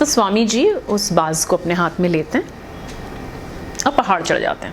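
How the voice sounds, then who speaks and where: A woman speaks with lively intonation. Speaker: radio jockey. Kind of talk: motivational storytelling to camera. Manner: casual, conversational.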